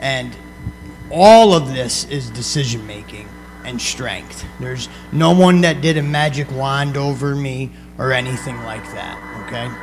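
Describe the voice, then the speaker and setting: Over noticeable background noise and audible room echo, a man with an American accent speaks fairly slowly, his loudness swinging widely. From upstate New York. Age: 30s. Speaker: motivational speaker on addiction recovery. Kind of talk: talk to students. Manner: conversational.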